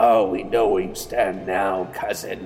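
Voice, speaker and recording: A man puts on a character voice, pitched fairly low. He talks at a fairly slow pace over clear background noise. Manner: hissing, menacing, taunting.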